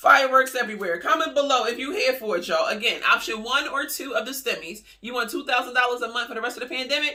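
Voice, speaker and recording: An animated tone at a very fast pace, hardly any pauses, over noticeable background noise. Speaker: YouTuber covering stimulus news. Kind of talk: casual news commentary vlog.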